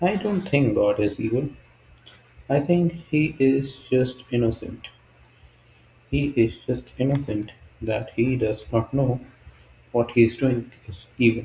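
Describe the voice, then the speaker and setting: A man speaks at a fairly slow pace and a medium pitch, somewhat breathy and dark, mellow in tone. His pitch varies in an ordinary way, and he leaves long, frequent pauses. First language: not English. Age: 20s. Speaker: solo video creator. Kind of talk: casual monologue. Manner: halting, unscripted.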